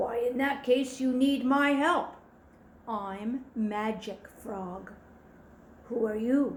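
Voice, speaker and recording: Doing a gravelly, put-on character voice with a high pitch, a woman speaks at a very slow pace with long, frequent pauses and audible echo. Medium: read story.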